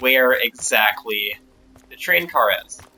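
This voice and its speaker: Music sounds in the background. Over it, a man talks at a medium pitch. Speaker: gamer making a game tutorial. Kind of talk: tutorial. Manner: fast.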